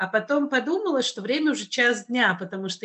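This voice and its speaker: Noticeable background noise surrounds the speaker. She is a woman with lively intonation. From Russia, Kazan. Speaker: podcast host. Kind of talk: casual chat.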